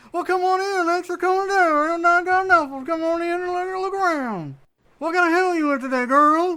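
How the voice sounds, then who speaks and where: An extremely high, put-on character voice. It moves at a fairly quick pace. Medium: actual play. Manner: animated, cheerful, fast.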